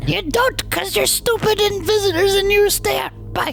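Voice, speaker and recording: A squeaky, put-on character voice moves at a moderate pace. Music plays clearly in the background. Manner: rude, dismissive.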